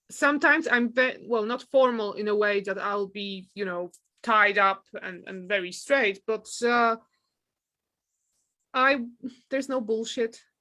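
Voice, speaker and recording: A woman with a non-native accent and a fairly high pitch in a bright, sharp tone, ordinary pitch variation, big swings in loudness, a fairly slow pace and long, frequent pauses. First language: not English. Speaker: photographer and university teacher. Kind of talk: casual chat.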